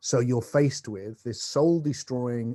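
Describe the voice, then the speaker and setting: A man's dark, mellow tone, with ordinary pitch variation, sounds dry and close with no echo over a quiet background. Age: 60s. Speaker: philosopher and spiritual teacher. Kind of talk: conversational interview. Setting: video call across continents. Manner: animated.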